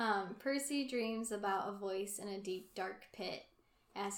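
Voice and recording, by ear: With ordinary pitch variation, a person reads aloud in a natural voice.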